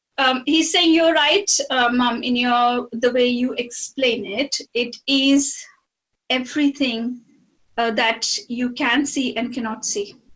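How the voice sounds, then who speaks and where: The woman's voice sits high and varies in pitch in an ordinary way. Her pace is very slow. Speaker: psychic medium channeling a spirit. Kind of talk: channeling session conversation. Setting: video call. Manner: soft-spoken; halting, hesitant. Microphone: too quiet, not triggering on screen.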